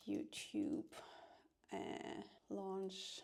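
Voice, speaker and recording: A woman talks at medium pitch with a dark, mellow tone. Vocal fry runs through her voice. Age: 40s. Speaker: vlogger. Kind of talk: casual vlog talk to camera. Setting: at home. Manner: soft-spoken.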